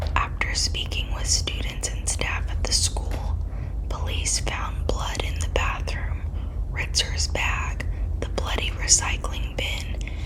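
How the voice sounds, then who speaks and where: Someone whispers at a very slow pace. Noticeable background noise is present. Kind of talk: ASMR true crime narration. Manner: whispered.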